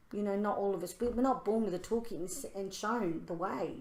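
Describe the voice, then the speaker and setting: A woman talks at a fairly quick pace in a medium pitch with ordinary pitch variation, her voice carrying audible room echo. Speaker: spiritual podcast co-host. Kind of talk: casual chat. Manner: loud; animated.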